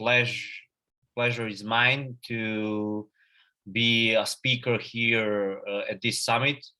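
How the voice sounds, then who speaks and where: A man with a Serbian accent speaks very slowly in a flat monotone at medium pitch, his tone bright and sharp against a quiet background. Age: 20s. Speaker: agency founder and CEO. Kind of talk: conference talk. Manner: halting, many fillers and repetitions.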